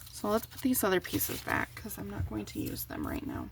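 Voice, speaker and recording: A woman speaks in a soft-spoken manner. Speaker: paper crafter. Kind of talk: crafting tutorial chat.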